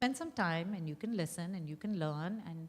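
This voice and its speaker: A somewhat breathy voice talks fairly quickly, its pitch varying in an ordinary way. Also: woman. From India. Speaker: women's rights advocate. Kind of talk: public conversation. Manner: animated.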